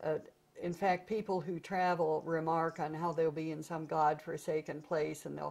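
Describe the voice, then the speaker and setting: In an American accent, a woman with a very deep, low voice speaks at a moderate pace with monotone, flat intonation. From US Midwest, St. Louis; US Midwest. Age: 70s. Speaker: author and photographer; interviewee. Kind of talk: oral history interview. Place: home room.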